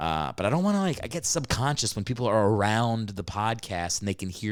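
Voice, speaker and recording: Against a silent background in a very clean recording, a man with a fairly low pitch speaks in an animated tone at a moderate pace. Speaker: comedian podcast host. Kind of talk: solo podcast monologue. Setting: home recording. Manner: loud; animated, casual.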